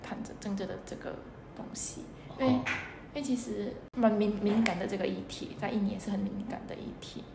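A woman with an Indonesian accent speaks at medium pitch and a moderate pace. Noticeable background noise and audible room echo surround her voice. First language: Indonesian (speaking Chinese). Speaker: intern. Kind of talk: casual interview.

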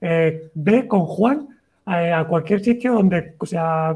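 The man's voice sits high in pitch, with a dark, mellow tone. His intonation is lively. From Valencia, Spain. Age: 30s. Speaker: writer and cyclist. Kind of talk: casual interview chat. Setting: video call livestream.

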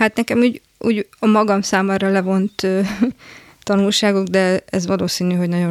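A woman at a moderate pace with fairly even intonation, in a dry, close sound with no echo. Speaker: architect. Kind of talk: interview. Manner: halting.

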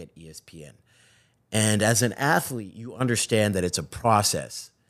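On a very clean recording with a silent background, a man talks in an American accent. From Zimbabwe, then Boston. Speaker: sports TV host. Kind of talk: casual interview chat.

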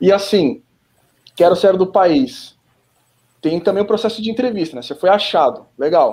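At a moderate pace broken by long, frequent pauses, a man speaks in a high pitch with a dark, mellow tone. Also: lively intonation. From Brazil. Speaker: podcast host. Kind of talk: casual chat.

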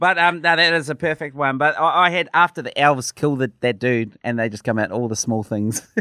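Speaking fairly quickly with hardly any pauses, a man with a New Zealand accent has a fairly high pitch and lively intonation. His tone is bright and sharp, in a dry, close sound with no echo. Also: quiet background. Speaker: podcast co-host. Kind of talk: casual chat.

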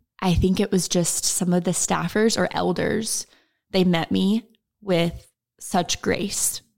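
At a very slow pace, a woman of medium pitch with an American accent talks in a monotone, flat intonation at very even loudness. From Oklahoma. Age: 20s. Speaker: social media manager. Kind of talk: personal testimony. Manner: passionate.

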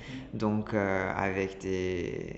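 A man's voice with audible room echo. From Italy, Milan. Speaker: designer and ceramicist. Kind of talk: interview. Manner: halting, many repetitions.

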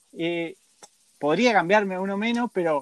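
A man speaks at a moderate pace. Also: dry, close sound with no echo. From Argentina. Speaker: radio host. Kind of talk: casual interview.

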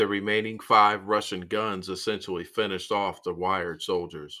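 With a bright, sharp tone and a fairly low pitch, a man talks at a moderate pace using fairly even intonation. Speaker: podcast host. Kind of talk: history documentary narration. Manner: dramatic, spooky, theatrical; emphatic, gruesome storytelling.

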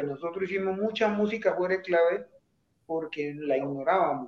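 A man's high-pitched voice with fairly even intonation. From Colombian Pacific coast (Buenaventura), raised partly in Bogotá. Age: 60s. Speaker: salsa bandleader. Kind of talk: interview.

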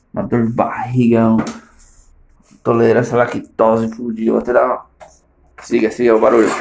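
Amid audible room echo, a man speaks in a monotone, flat intonation with long, frequent pauses. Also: medium pitch for a man, moderate pace. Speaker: comedian. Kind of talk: casual monologue. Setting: at home in the bathroom.

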